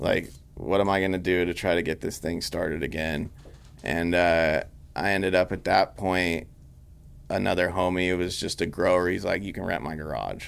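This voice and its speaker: The voice has vocal fry, fairly even intonation and a moderate pace. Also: man, very deep, low pitch for a man. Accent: American. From Northern California, Grass Valley. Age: 30s. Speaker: cannabis extract company founder. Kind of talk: casual chat.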